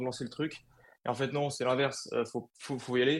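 Over a quiet background, the voice moves at a fairly quick pace in a monotone, flat intonation. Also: man. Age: 20s. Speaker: clothing brand co-founder. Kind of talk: interview. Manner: halting, many fillers and repetitions.

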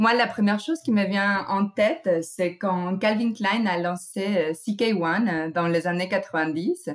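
A woman talks at a very slow pace with lively intonation. Her loudness stays very even. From United States (born in Mexico). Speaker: trend researcher. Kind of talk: scripted segment. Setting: recording at home.

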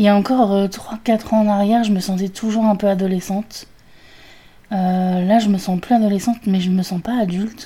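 A woman speaks at a moderate pace and a medium pitch, with a dark, mellow tone. Her delivery is somewhat breathy and monotone, with flat intonation. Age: 30s. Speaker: podcaster. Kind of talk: solo monologue. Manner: halting.

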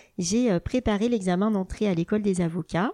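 In a very clean recording with a silent background, a woman's dark, mellow tone comes through with a dry, close sound and no echo. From France, Burgundy. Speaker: family lawyer. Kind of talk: interview. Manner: hesitant, frequent fillers.

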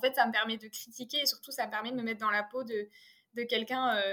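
A woman talks with fairly even intonation. Her pitch sits fairly high. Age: 20s. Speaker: filmmaker and actress. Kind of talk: interview. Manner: halting.

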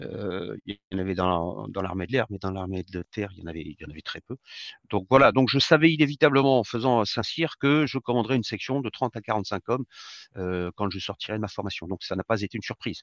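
A man with a fairly low voice talks at a fairly quick pace with lively intonation, his sound dry and close with no echo over a quiet background. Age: 60s. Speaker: retired army general and speaker. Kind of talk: interview. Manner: hesitant, many filler sounds.

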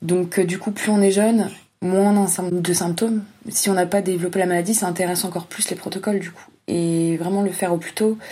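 Somewhat breathy and dark, mellow in tone, a woman talks at a fairly quick clip in a flat monotone, her loudness swinging widely. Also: medium pitch for a woman. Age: 20s. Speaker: young family caregiver. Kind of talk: testimony.

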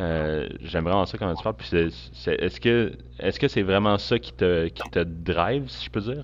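With a Quebec accent, a man speaks at a moderate pace in a very deep, low pitch with vocal fry and very wide pitch swings against a quiet background. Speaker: podcast host. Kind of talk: interview conversation. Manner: halting.

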